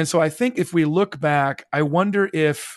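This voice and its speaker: Over a quiet background, a man with an American accent speaks in an unremarkable speaking voice, fairly high in pitch with ordinary pitch variation. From US Midwest. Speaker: author and journalist. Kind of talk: interview.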